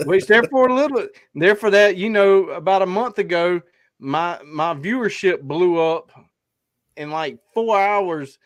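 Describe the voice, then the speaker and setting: The man's voice is high-pitched with ordinary pitch variation. He speaks at a fairly slow pace. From South Carolina. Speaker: hunting podcast host. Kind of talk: casual chat.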